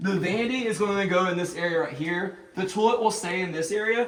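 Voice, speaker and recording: A man's high voice at a fairly quick pace, with audible room echo and noticeable background noise. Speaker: homeowner renovating a historic house. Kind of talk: walkthrough video tour. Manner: casual, with many fillers.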